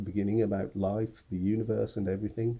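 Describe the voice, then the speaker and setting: In a dark, mellow tone, a man speaks somewhat breathily at a moderate pace. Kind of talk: first-person diary monologue.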